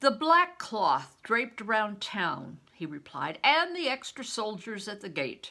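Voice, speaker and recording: Projecting a raised voice, a woman talks at a fairly slow pace in a bright, sharp tone with very wide pitch swings. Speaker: retired reading teacher. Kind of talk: children's novel read-aloud.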